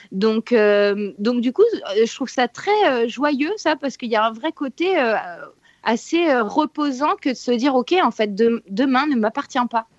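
A woman speaks at a very slow pace in a high pitch with very wide pitch swings, the sound dry and close with no echo. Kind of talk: casual chat. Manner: energetic.

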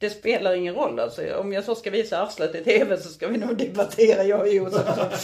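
A woman is heard over noticeable background noise. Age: 40s. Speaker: podcast co-host. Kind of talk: casual chat. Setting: hotel room.

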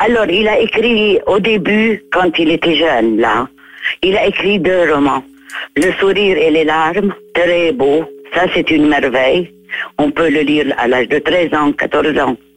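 Against noticeable background noise, the speaker moves at a very slow pace with lively intonation and very even loudness. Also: woman, fairly low pitch for a woman. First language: Arabic (speaking French). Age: 80s+. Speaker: writer. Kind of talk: interview. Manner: halting.

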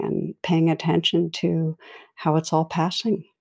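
A woman's fairly low voice comes at a moderate speed. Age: 60s. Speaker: meditation teacher and clinical psychologist. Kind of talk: interview conversation. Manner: gentle.

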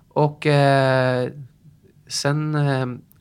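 A man's voice on a very clean recording against a silent background. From northern Norway. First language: Norwegian (speaking Swedish). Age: 40s. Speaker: fitness instructor. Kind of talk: interview.

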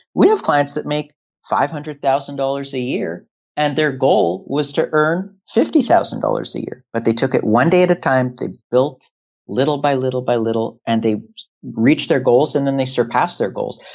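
A man of medium pitch speaks with a Canadian accent at a moderate pace and ordinary pitch variation. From Canada, Toronto. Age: 30s. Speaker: entrepreneur. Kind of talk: interview conversation. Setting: Skype call. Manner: halting, many fillers.

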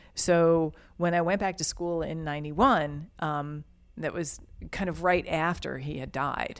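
A woman with an American accent speaks at a fairly slow pace in a normal speaking voice, her fairly low pitch moving with ordinary variation over a very clean recording with a silent background. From New York, Yonkers. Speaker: glass artist. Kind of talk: interview conversation. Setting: artist's studio.

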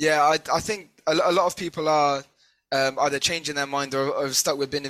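Fairly even intonation and a British accent mark this very clean recording with a silent background. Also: man. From Britain. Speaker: podcast co-host. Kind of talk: interview.

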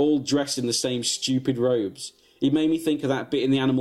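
Unforced voice reading a passage

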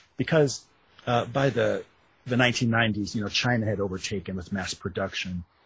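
With an American accent, a man talks at a moderate pace in a normal speaking voice, fairly low in pitch with ordinary pitch variation. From Wisconsin. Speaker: author. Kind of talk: interview.

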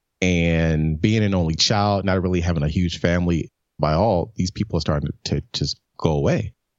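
With an American accent, a man speaks at a moderate pace in a very deep, low voice, with ordinary pitch variation and very even loudness. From US South, Memphis, Tennessee. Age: 50s. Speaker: brand strategist. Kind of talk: interview.

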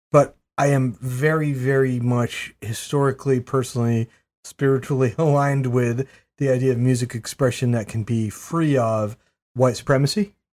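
A man's normal speaking voice at medium pitch and moderate pace, with fairly even intonation, on a very clean recording with a silent background. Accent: American. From Maine, US. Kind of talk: casual chat.

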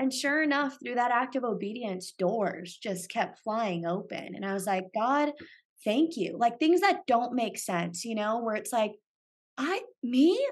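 With a Californian accent, a woman speaks at a fairly slow pace. Her pitch is fairly high and her intonation lively. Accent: Californian American. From US West Coast, San Francisco Bay Area. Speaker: podcaster. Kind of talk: casual interview. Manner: animated.

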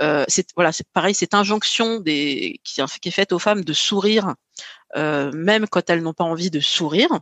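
Moderate pace and ordinary pitch variation. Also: woman, fairly low pitch for a woman. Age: 40s. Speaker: podcast host, guest on another show. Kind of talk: casual chat. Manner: halting, many fillers.

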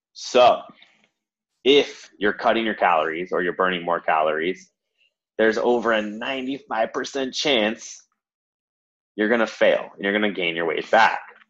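A man speaks at a fairly slow pace in a medium pitch, with ordinary pitch variation and long, frequent pauses. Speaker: podcast host, fitness coach. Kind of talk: casual podcast chat.

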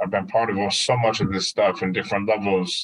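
A man speaks in a normal speaking voice at a fairly low pitch. His pace is fairly quick. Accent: American. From Madison, Wisconsin. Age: 40s. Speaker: PhD student and community organization director, military veteran. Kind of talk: interview.

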